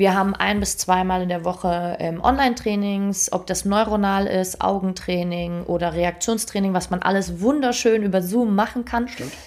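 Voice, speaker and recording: In a normal speaking voice, a woman talks at a moderate pace with a medium pitch, ordinary pitch variation and hardly any pauses. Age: 20s. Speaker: performance coach. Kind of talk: casual interview. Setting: in person in an office.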